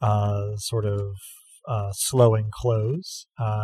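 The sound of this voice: An unforced reading voice comes through against a quiet background.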